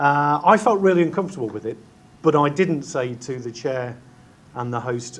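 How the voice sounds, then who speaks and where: In an English Midlands accent, a man talks at a moderate pace with ordinary pitch variation. Room echo is audible. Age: middle-aged. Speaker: chief executive. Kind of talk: conference talk. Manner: halting, many fillers.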